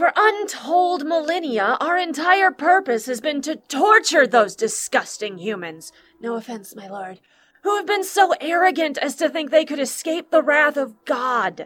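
A female-sounding, put-on character voice with a high pitch moves at a moderate pace. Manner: contemptuous, impassioned, righteous.

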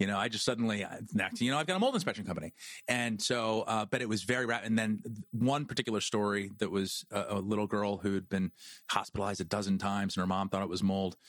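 Talking at a very fast pace, a man uses an American accent. His pitch sits fairly low and his intonation stays fairly even. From New Jersey, near Princeton. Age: 40s. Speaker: mold inspection company founder. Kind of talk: interview. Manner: halting, many restarts.

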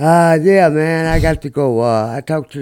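Over a very clean recording with a silent background, a man talks at a fairly slow pace. He has an ordinary speaking voice with lively intonation. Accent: American. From Peoria, Illinois. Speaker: guest. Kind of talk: casual chat.

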